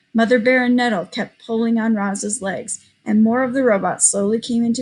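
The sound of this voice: An unforced reading voice, its intonation held fairly even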